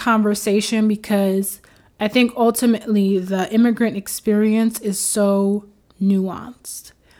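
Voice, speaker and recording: This woman speaks with a New York accent. Her pace is fairly slow. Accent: New York American English. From New York, Haitian American family. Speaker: podcast host and mental health counselor. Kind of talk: solo podcast monologue. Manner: casual, many filler words.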